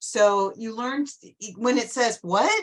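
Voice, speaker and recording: A woman speaks with lively intonation. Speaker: Lions club trainer for district governors. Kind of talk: online group meeting briefing. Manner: fast.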